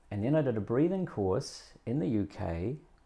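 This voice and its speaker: A man is speaking. His tone is dark and mellow. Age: 60s. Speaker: breathing educator. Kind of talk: interview.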